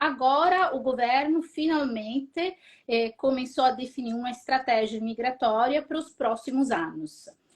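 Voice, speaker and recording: With an Italian accent, a woman speaks high-pitched and with lively intonation at a fairly slow pace. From Italy. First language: Italian (speaking Portuguese). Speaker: registered migration agent. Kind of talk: live stream interview.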